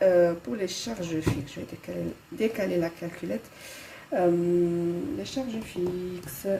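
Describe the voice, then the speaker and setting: A woman talks at a very slow pace with noticeable background noise. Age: 30s. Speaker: budgeting vlogger. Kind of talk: casual tutorial. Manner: hesitant, many fillers.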